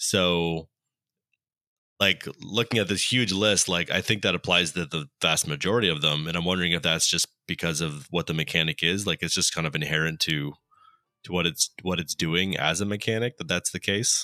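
Recorded very cleanly with a silent background and a dry, close sound with no echo, the voice has a bright, sharp tone, ordinary pitch variation and a moderate pace. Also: man, very deep, low pitch for a man. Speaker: podcast co-host. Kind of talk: casual chat.

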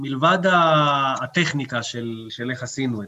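This is an ordinary speaking voice. A man talks at a medium pitch with ordinary pitch variation. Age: 40s. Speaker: mountain and off-piste ski guide. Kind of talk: expert interview.

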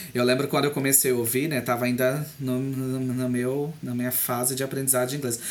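The talking runs at a fairly quick pace over noticeable background noise. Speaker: podcast co-host. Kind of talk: casual chat. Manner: animated.

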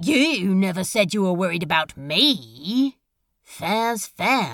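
A female-sounding voice puts on a character at a middle pitch. It swings very widely in pitch and moves at a very slow pace. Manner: sulky, sarcastic, hurt.

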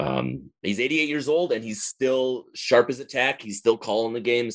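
Speaking with an American accent, a man uses an ordinary speaking voice at a medium pitch and moderate pace, with ordinary pitch variation, in a dry, close sound with no echo. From northern Wisconsin. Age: 30s. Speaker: baseball fan forum moderator. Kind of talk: casual interview.

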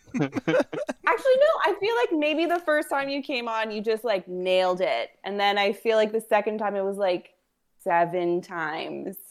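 A woman speaks at a moderate pace in a fairly high voice with very wide pitch swings. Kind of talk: casual chat.

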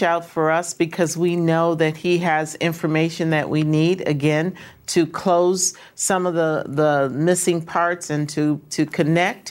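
A woman with a normal speaking voice talks at a fairly slow pace and fairly low pitch, with fairly even intonation and very even loudness, on a very clean recording with a silent background. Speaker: congresswoman. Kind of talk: news interview.

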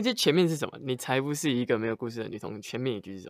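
A man rattles off words at a very fast pace in a very clean recording with a silent background. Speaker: singer-songwriter. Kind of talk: casual chat.

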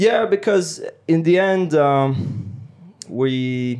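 A man's fairly high voice in a French accent, with lively intonation at a very slow pace. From France. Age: 20s. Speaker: French teacher. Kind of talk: casual chat.

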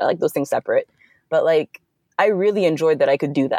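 In a dry, close recording with no echo, a woman talks at a very fast pace. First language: Fulani. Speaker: software developer, founder of side project. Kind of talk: casual interview.

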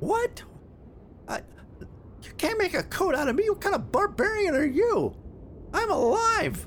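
An extremely high-pitched put-on character voice with long, frequent pauses over clear background noise. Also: moderate pace. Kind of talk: comic creature voice. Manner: defensive, whiny, pleading.

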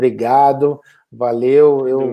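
A man speaks at a medium pitch with a Brazilian accent and a dark, mellow tone. His intonation stays monotone and flat. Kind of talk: live online interview. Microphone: unstable internet connection.

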